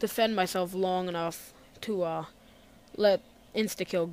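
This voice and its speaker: A quiet woman at a medium pitch, on a very clean recording with a silent background. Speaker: gaming commentator. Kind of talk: gameplay commentary. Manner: quiet, low energy.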